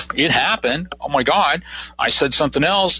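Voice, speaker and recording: A man speaks with an American accent. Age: 60s. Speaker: psychic. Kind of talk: interview. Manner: halting.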